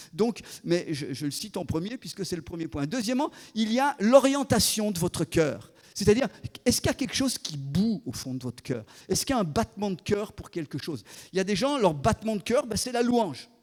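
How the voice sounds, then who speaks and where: A man speaks at a fairly quick pace with a high pitch, very wide pitch swings and big swings in loudness, in a very clean recording with a silent background. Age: 60s. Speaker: guest preacher, former missionary. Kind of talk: sermon. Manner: halting, frequent repetitions.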